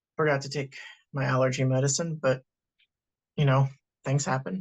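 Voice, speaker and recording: The sound is dry and close, with no echo. A man speaks somewhat breathily at a medium pitch. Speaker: podcast co-host. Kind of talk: casual chat.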